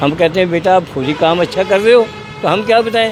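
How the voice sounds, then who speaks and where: Against noticeable background noise, a man speaks in a high voice with ordinary pitch variation. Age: 80s+. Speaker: local resident. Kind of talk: street interview. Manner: animated.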